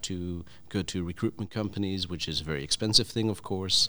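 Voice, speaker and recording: A man with a fairly low pitch, a bright, sharp tone and a moderate pace. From Belgium. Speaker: business owner, developer. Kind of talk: panel discussion. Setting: stage with audience.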